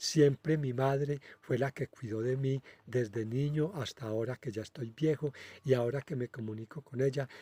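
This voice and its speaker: Dry and close with no echo, a man's somewhat breathy, medium-pitched voice carries a dark, mellow tone at a moderate pace. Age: 60s. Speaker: spiritual medium, channel host. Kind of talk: casual monologue. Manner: halting, many filler hesitations.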